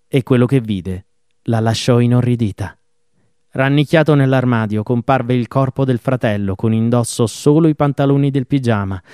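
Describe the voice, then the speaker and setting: A man with a dark, mellow tone, recorded dry and close with no echo. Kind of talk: true-crime narration. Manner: formal, steady pace.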